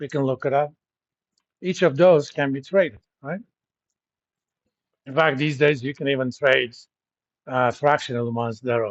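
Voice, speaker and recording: The man has a fairly high pitch and ordinary pitch variation. He keeps a moderate pace with long, frequent pauses. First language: not English. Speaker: university lecturer. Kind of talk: lecture. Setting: classroom. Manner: conversational with filler words.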